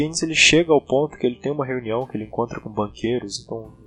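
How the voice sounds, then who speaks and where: The pitch rises and falls in an ordinary way. Behind the voice, music can be heard. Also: man. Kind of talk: casual spoken monologue on economic history. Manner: hesitant, informal.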